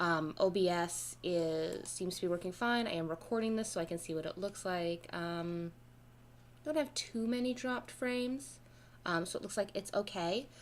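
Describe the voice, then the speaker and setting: The intonation is lively. The pace is moderate. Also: woman, medium pitch for a woman. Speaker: game streamer. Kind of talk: live game streaming. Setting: home setup on dining table. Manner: loud; halting.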